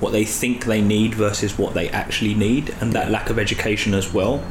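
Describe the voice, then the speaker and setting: A fairly quick pace marks the talk, with noticeable background noise present. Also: man. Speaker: personal trainer. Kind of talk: casual chat.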